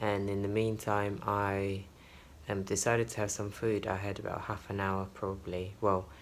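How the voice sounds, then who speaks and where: A soft-spoken man, fairly low-pitched, in a flat monotone at a moderate pace. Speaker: flight attendant vlogger. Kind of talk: travel vlog. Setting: hotel room. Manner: soft-spoken, talking quietly.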